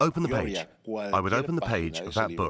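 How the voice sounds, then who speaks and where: Showing vocal fry, a man speaks at a fairly low pitch with very wide pitch swings. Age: 60s. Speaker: podcast host. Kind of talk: casual chat.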